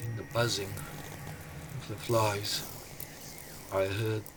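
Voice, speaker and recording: With music in the background, a man talks in a fairly low voice. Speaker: storyteller. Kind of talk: storytelling, first-person narration of a folk tale.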